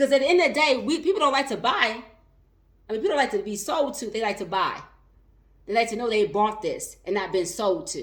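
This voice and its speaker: Her voice swings very widely in pitch and sits high, with an animated tone. This woman talks at a fairly quick pace. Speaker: life and business coach. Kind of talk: live stream talk. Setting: live video stream on social media. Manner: fast.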